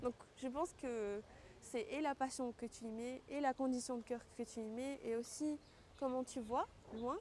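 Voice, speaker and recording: Fairly slow delivery with fairly even intonation over noticeable background noise. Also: woman, high pitch for a woman. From Tahiti, French Polynesia. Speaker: professional lagoon fisher and fitness coach. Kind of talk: interview answer.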